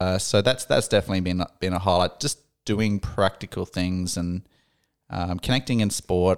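A man with an Australian accent speaks at a moderate pace in a very deep, low voice, his fairly even intonation captured on a very clean, dry, close recording with no echo and a silent background. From Australia, Darwin. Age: 30s. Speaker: psychology trainee, former engineer. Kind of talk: casual interview.

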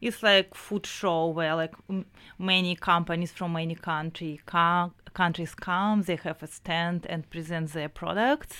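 Speaking at a fairly slow pace with fairly even intonation, a woman has a bright, sharp tone on a very clean recording with a silent background. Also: fairly low pitch for a woman. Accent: Russian. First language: Russian. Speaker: business founder. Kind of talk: radio interview. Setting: radio studio.

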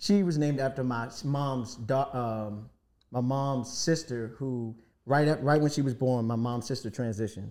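In a normal speaking voice, a man with an American accent talks at a moderate pace and medium pitch with ordinary pitch variation. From Washington, D.C. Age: 40s. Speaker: rapper and producer. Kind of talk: casual chat.

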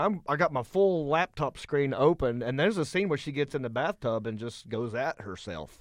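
A man with a Southern US accent at a fairly quick pace. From Hickory, North Carolina (US South). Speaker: comedian, podcaster. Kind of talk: casual chat about movies.

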